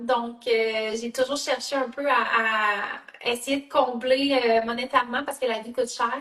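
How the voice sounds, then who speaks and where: A woman's high voice with a Quebec accent and fairly even intonation. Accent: Canadian French (Quebec). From Canada. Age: 30s. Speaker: network marketing entrepreneur. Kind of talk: live video interview. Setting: live video call. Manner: hesitant, many fillers.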